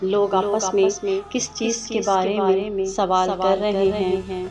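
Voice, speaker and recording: Against noticeable background noise, a woman speaks at a medium pitch in a monotone, flat intonation. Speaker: Quran reciter and translator. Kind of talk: religious scripture translation reading. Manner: calm, soothing.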